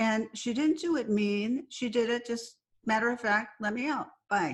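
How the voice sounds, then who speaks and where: Using a normal speaking voice, a woman talks at a moderate pace with an American accent. Her pitch is fairly high, with ordinary variation. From Southern California. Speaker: psychiatrist and author. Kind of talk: interview.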